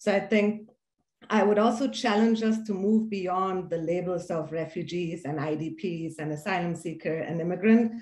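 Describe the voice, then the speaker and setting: A woman's dark, mellow, somewhat breathy voice with a slight German accent, ordinary pitch variation and a moderate pace. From Iran, then Germany. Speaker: philanthropy leader, former refugee. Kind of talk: panel discussion.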